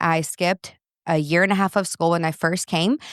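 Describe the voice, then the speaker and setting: A woman with a Portuguese accent is heard in a dry, close sound with no echo, on a very clean recording with a silent background. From Brazil. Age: 30s. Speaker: parenting coach and podcast host. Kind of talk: interview conversation.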